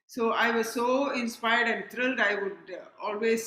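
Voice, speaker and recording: A woman's fairly high, bright, sharp voice at a fairly slow pace, with fairly even intonation and audible room echo. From Malaysia and Kerala, India. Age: 70s. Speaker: classical dancer. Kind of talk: interview.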